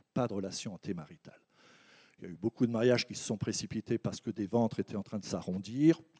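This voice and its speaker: A dark, mellow tone moves at a very fast pace in a dry, close sound with no echo. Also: man. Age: 60s. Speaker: anthropologist and researcher. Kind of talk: conference talk. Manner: halting, with repetitions.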